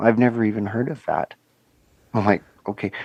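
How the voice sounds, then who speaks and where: A man talks in a calm tone, the sound dry and close with no echo. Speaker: sheep shearer and social media creator. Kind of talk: casual podcast chat. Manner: calm, relaxing.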